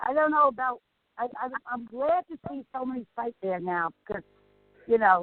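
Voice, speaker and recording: A woman at a moderate pace with lively intonation, music in the background. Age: 60s. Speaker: psychic medium. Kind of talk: radio interview and live psychic reading. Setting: radio show.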